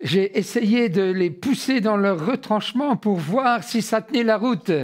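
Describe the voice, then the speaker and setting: A man's voice at a very slow pace with ordinary pitch variation, on a very clean recording with a silent background. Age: 70s. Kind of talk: testimony. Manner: hesitant with frequent fillers.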